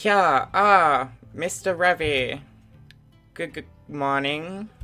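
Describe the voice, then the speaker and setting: A man's strained, put-on character voice, fairly high in pitch and very slow in pace, over faint music in the background. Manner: strained put-on voice.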